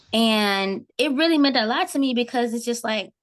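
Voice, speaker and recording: An ordinary speaking voice moves at a moderate pace with ordinary pitch variation against a quiet background. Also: woman. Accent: American. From Texas, Houston (Acres Home). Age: 20s. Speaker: university student. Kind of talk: casual podcast conversation.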